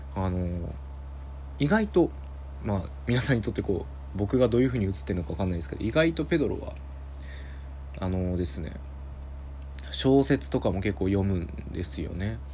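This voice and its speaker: With a very deep, low pitch, a dark, mellow tone and vocal fry, a man speaks fairly quickly, his pitch swinging very widely between long, frequent pauses. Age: 20s. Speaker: podcast host. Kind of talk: casual solo talk.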